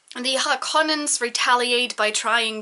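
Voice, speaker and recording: Noticeable background noise surrounds the voice. A woman speaks with ordinary pitch variation. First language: not English. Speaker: book reviewer. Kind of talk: rant book review. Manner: animated.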